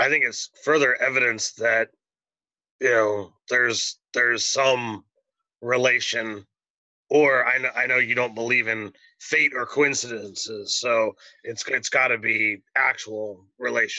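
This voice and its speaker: Using a put-on character voice, a man sounds raspy at a medium pitch, with monotone, flat intonation and a fairly slow pace. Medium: actual play.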